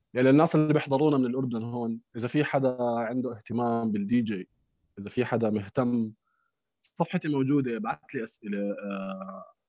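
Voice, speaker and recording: A man talks at a moderate pace and a medium pitch. His pitch variation is ordinary. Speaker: DJ and music producer. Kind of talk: casual chat.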